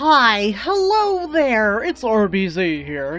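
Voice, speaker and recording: Over clear background music, a woman uses a put-on character voice at a fairly high pitch with very wide pitch swings. She speaks at a very slow pace. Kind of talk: smooth announcer style.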